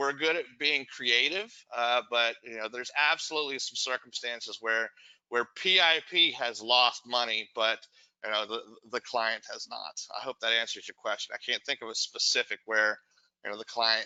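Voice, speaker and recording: Loudness swings widely as a man talks at a moderate pace. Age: 40s. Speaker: real estate investor, company founder. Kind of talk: webinar Q&A.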